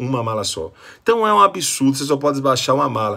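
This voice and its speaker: Animated and bright, sharp in tone, a man with a medium pitch speaks at a fairly quick pace with lively intonation against a quiet background. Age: 40s. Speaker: motivational speaker. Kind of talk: complaint vlog. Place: home room. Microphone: phone near.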